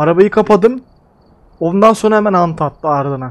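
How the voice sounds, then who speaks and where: With lively intonation, a man is speaking. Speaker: gaming streamer. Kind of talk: casual gameplay chat with teammate. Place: home room. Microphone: headset.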